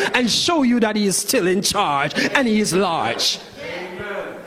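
Noticeable background noise accompanies a man's voice. He speaks at a fairly slow pace in an animated tone. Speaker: preacher. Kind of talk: sermon. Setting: church with congregation. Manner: animated, impassioned preaching with rhetorical flourish; formal, elevated pulpit diction.

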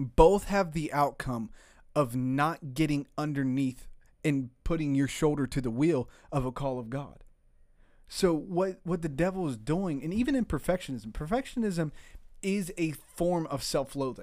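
On a very clean recording with a silent background, a man with a fairly high pitch speaks in an animated tone with lively intonation at a moderate pace. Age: 20s. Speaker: podcast guest discussing faith and prayer. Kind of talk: casual chat. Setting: studio.

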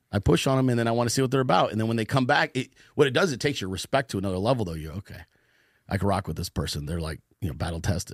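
A man with an American accent at a very fast pace, fairly low in pitch with lively intonation, in a very clean recording with a silent background and a dry, close sound with no echo. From US West Coast, Northern California Bay Area. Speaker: political podcaster and meme page leader. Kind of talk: casual interview chat. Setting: studio.

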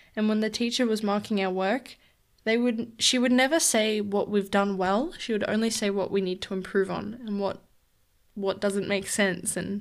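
An unremarkable speaking voice at a moderate pace, fairly even in intonation, on a very clean recording with a silent background. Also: woman. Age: young. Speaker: solo podcaster, university student. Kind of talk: casual monologue. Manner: chatty, laughs often.

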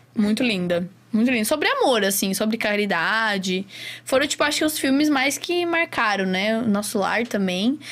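A plain, everyday voice moves at a moderate pace with lively intonation and very even loudness. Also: woman, fairly high pitch for a woman. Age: 20s. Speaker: astrologer and tarot reader. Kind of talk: casual chat.

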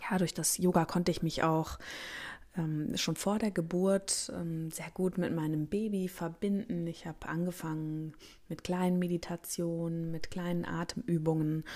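On a very clean recording with a silent background, a woman speaks at a fairly slow pace with a dark, mellow tone, fairly low pitch and fairly even intonation. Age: 30s. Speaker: gynecologist and podcast host. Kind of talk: solo podcast monologue.

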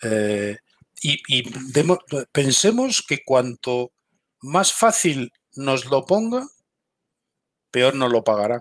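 Pausing long and often, a man speaks at a very slow pace with lively intonation in a dry, close sound with no echo. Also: medium pitch for a man. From Galicia, Spain. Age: 50s. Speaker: military intelligence veteran. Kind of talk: interview.

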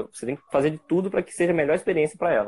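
A man's voice with ordinary pitch variation. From interior of Rio de Janeiro state, Brazil. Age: 20s. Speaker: photographer. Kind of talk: casual interview on a live stream. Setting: remote live stream.

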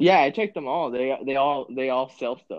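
A man with an American accent and a plain, everyday voice speaks at medium pitch with lively intonation. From California, small town. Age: 20s. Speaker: sneaker buyer and concertgoer. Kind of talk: casual chat. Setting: call.

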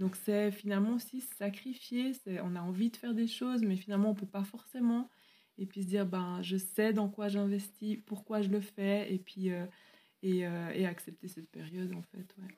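A woman's somewhat breathy, medium-pitched voice has a dark, mellow tone. She keeps a moderate pace with fairly even intonation. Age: 30s. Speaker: teacher and pastor's wife. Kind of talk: interview.

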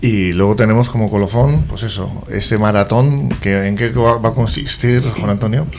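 Over noticeable background noise, a man speaks with hardly any pauses. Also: medium pitch for a man, ordinary pitch variation, moderate pace. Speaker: radio host. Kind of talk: radio interview. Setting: studio.

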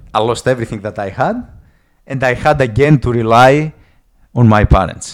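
Speaking in a strong Greek accent at a moderate pace, a man uses ordinary pitch variation and long, frequent pauses. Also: medium pitch for a man, very clean recording, silent background. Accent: heavy Greek. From Greece. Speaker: guest sharing life story. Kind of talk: casual interview. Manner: halting with repeated words.

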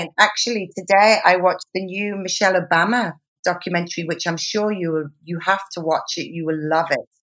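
At a moderate pace, a woman speaks in a plain, everyday voice with a medium pitch and fairly even intonation. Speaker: podcast host. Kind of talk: casual interview chat.

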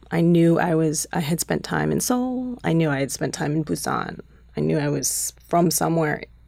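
A woman talks with a Chicago accent and very even loudness. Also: moderate pace. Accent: US Midwest (Chicago area). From Chicago suburbs, US Midwest. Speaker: documentary filmmaker and actor. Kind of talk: interview conversation.

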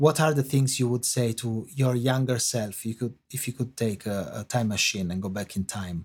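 A man with an Italian accent talks at a moderate pace at a medium pitch, somewhat breathy and with ordinary pitch variation. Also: hardly any pauses. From Italy. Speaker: film and TV composer. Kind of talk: interview. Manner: halting, many fillers.

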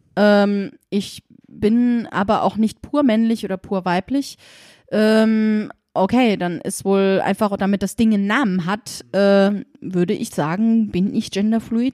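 A woman talks at a fairly slow pace in a medium pitch. Her tone is dark and mellow. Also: dry, close sound with no echo. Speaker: guest, genderfluid parent. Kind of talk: casual chat. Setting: at the host's home.

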